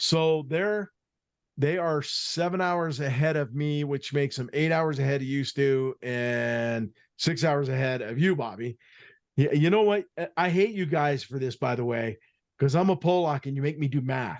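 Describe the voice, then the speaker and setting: In an American accent, a man with an ordinary speaking voice talks at a moderate pace and a fairly high pitch. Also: ordinary pitch variation, quiet background. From US Northeast, Boston area. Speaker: podcast host. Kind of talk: casual chat.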